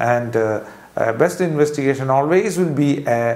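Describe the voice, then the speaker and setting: A man speaks with a Keralan accent. His pitch is fairly high. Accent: Indian English (Malayali). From Kerala, India. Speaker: surgeon. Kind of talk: medical explainer video. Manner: hesitant, with frequent fillers. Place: office. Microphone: lapel.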